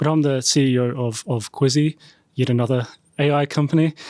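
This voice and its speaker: Delivered at a moderate pace with fairly even intonation, the speech has a New Zealand accent and a dry, close sound with no echo. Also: man. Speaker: startup CEO. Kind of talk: podcast panel introduction.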